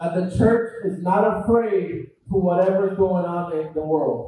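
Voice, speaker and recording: A man with a high pitch talks at a fairly slow pace. His intonation stays fairly even while his loudness swings widely. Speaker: church announcer or leader. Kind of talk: church announcement.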